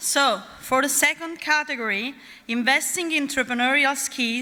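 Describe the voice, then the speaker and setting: Raising and projecting her high voice, a woman speaks at a moderate pace in an Italian accent, her tone bright and sharp with ordinary pitch variation. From Naples, Italy. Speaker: awards ceremony presenter. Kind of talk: ceremony presenting. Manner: formal.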